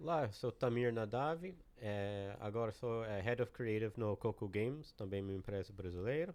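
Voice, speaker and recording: Fairly slow speech from a man in an American accent. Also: quiet background. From United States. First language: English (speaking Portuguese). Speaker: game creative director. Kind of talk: podcast interview. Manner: halting.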